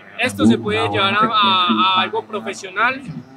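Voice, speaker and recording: Loud background noise sits behind a man's voice. He speaks fairly slowly at a high pitch with lively intonation. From Colombia. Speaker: esports player. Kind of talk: interview testimony. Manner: motivational, earnest. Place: stage.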